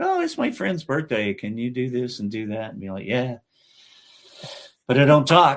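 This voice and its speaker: A man with a Texan accent, medium pitch, moderate pace, ordinary pitch variation, big swings in loudness and long, frequent pauses. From southeast Texas. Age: 60s. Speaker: voice actor. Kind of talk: casual chat. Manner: animated.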